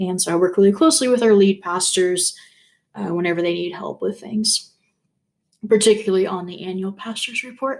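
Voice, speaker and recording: Speech comes at a fairly quick pace. The pitch variation is ordinary. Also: woman, medium pitch for a woman. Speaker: youth minister. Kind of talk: self-introduction video. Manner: fast.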